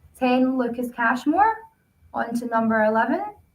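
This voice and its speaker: At a fairly slow pace, a woman with a Glasgow accent speaks in a high pitch. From Scotland, Glasgow. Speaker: rugby show co-host. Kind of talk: casual sports chat.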